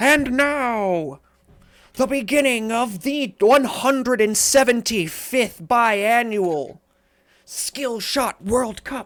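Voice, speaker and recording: A put-on character voice, female-sounding and high-pitched, at a very slow pace. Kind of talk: formal announcing. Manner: ceremonial, enthusiastic.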